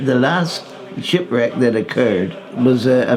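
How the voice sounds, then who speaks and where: Amid noticeable background noise and audible room echo, a man with a Cornish accent speaks very slowly at a medium pitch, his intonation lively. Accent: Cornish West Country English. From Cornwall, southwest England. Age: 80s+. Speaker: retired fishing tackle salesman and local villager. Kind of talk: documentary interview, reminiscing. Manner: halting, with repetitions and fillers.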